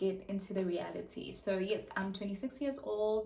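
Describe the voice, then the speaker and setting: A woman's somewhat breathy voice at medium pitch, with a South African accent, a fairly slow pace and audible room echo. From South Africa, the Vaal (Gauteng). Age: 20s. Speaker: YouTuber. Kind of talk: casual chat. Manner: hesitant, many fillers.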